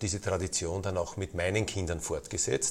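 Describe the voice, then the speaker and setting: This man's pitch is very deep and low, and his voice is somewhat breathy. His intonation stays fairly even. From Lower Austria, near Vienna. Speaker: football club president. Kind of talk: interview.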